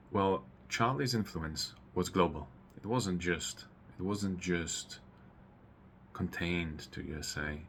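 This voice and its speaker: A man's very deep, low voice with a Polish accent, ordinary pitch variation, a very slow pace and long, frequent pauses. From Poland. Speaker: political commentator YouTuber. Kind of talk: personal commentary monologue. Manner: halting, many fillers and repetitions.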